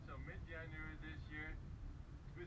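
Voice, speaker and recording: A man at a moderate pace under loud background noise. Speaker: local guide or host. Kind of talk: informal tour commentary. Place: train. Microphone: camera far.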